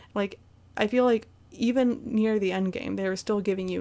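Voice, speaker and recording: Speaking with a Midwestern US accent, a woman has a dark, mellow tone at medium pitch with fairly even intonation. The recording is very clean, with a silent background. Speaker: gaming YouTuber. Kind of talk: casual video game recap monologue. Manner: hesitant, many fillers.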